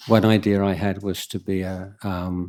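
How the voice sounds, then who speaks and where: On a very clean recording with a silent background, a man with an English accent speaks at a very deep, low pitch with monotone, flat intonation. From England. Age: 60s. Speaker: Buddhist monk. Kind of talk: Q&A talk. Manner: halting.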